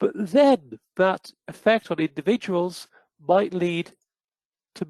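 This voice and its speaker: With a British accent, a man speaks at a high pitch using lively intonation. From United Kingdom. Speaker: psychometrics researcher presenting a webinar. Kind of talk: webinar presentation. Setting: online webinar.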